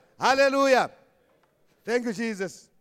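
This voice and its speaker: Speaking fairly quickly with a Zimbabwean accent, a man uses an extremely high pitch and ordinary pitch variation. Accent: Shona-accented English. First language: Shona. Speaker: preacher. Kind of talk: Palm Sunday sermon, switching between Shona and English, ending in fervent prayer. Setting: church. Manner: fervent, exhortative, call-and-response.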